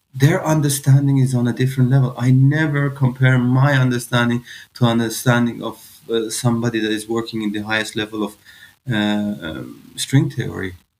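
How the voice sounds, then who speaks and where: At a fairly quick pace, a man with an Iranian accent speaks in a medium pitch with ordinary pitch variation. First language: Farsi. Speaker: physicist. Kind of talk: podcast interview. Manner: halting, many fillers.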